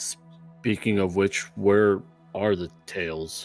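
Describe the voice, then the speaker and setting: In a put-on character voice, a man speaks very slowly with a fairly low pitch and monotone, flat intonation while faint music plays in the background. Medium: actual play.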